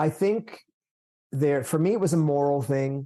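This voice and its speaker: With an American accent, a man speaks at a fairly high pitch in a dark, mellow tone. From United States. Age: 60s. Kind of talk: podcast interview. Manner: casual, halting with fillers.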